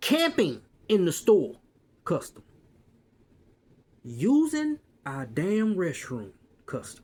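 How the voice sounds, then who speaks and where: A man talks with an American accent. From US South. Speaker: retail worker and vlogger. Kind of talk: casual rant. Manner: animated. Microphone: quiet, hard to hear.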